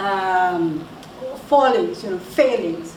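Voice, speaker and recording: A woman with a South African accent, amid noticeable background noise and audible room echo. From South Africa, Indian descent. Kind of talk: talk to an audience. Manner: halting, many repetitions and fillers.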